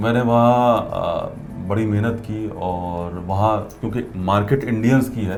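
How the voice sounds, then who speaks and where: A man speaks at a medium pitch with fairly even intonation. There is audible room echo and music in the background. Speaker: radio presenter. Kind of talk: interview.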